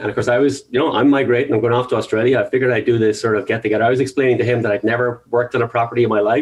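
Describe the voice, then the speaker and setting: This man has an Irish accent and a medium-pitched voice. His intonation stays flat and monotone. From Ireland. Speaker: real estate agent. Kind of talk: interview. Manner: halting.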